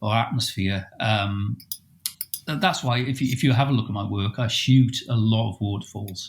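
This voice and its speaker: Speaking at a moderate pace, a man with a medium-pitched, somewhat breathy voice shows ordinary pitch variation. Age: 60s. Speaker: landscape photographer. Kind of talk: casual chat. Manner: hesitant, many fillers.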